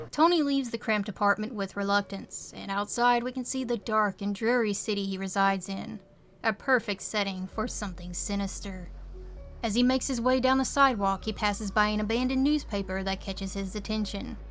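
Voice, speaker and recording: Music plays in the background as a woman talks at a fairly quick pace. Her pitch is medium, with ordinary pitch variation. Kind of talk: video essay narration. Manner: casual, wry.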